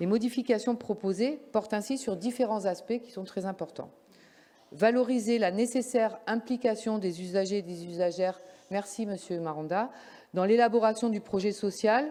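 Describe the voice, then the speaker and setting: Dark and mellow in tone yet fairly high in pitch, a woman's voice shows big swings in loudness. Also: ordinary pitch variation, moderate pace. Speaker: local councillor. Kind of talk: council meeting report. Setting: council meeting. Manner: formal.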